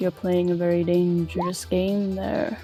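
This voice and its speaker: A woman uses a put-on character voice with growling. She speaks at a moderate pace over clear music in the background. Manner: menacing, warning.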